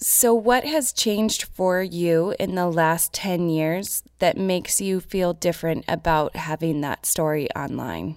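A woman speaks in a plain, everyday voice at a fairly low pitch, fairly slowly and with hardly any pauses, using ordinary pitch variation. The recording is very clean, with a silent background. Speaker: interviewer. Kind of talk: interview.

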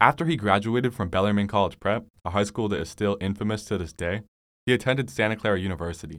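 A man with an American accent, a fairly low pitch and lively intonation at a very fast pace, on a very clean recording with a silent background. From California, San Francisco Bay Area. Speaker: local history podcaster. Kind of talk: scripted narration.

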